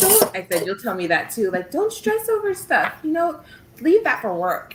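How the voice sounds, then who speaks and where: Noticeable noise sits in the background. Against it, a woman talks at a moderate speed. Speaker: teacher and crafter. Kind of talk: casual chat. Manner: calm.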